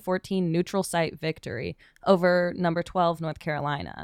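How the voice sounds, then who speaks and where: Recorded very cleanly with a silent background and a dry, close sound with no echo, a woman talks fairly slowly in a plain, everyday voice, fairly low in pitch. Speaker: radio host. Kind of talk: student radio news show. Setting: studio.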